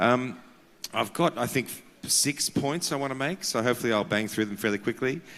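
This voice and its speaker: Speaking at a fairly quick pace, a man with an Australian accent has a medium pitch and ordinary pitch variation. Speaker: carbon markets consultant. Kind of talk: conference panel talk. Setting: conference with audience.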